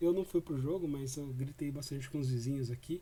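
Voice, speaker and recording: A somewhat breathy man talks with a fairly high pitch and ordinary pitch variation. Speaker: football fan commentator. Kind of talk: post-match commentary. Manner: casual, hesitant with fillers.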